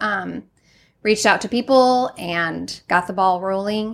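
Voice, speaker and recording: In a very clean recording with a silent background, a woman with a medium pitch speaks at a fairly slow pace. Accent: Midwestern. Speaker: dance studio owner. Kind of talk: casual interview chat. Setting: studio.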